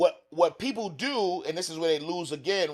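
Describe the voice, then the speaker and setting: Loud and with a New York accent, a man speaks at a high pitch with ordinary pitch variation. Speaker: author and financial educator. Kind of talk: interview conversation. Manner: fast.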